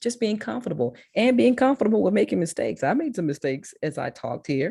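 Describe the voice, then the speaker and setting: A woman with a strong Mississippi accent talks very fast in a dark, mellow tone, with very wide pitch swings. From Memphis, Tennessee. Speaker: public speaking consultant. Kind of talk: talk to a school class.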